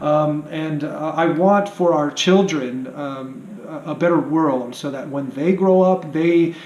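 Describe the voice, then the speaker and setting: A man's fairly high voice with fairly even intonation, noticeable background noise and audible room echo. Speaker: vlogger. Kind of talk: monologue to camera. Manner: hesitant, many fillers.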